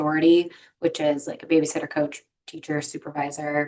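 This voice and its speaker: A woman speaks with a very deep, low pitch. Her intonation is monotone and flat. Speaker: victim services presenter. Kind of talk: webinar presentation. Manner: fast; casual, hesitant with fillers.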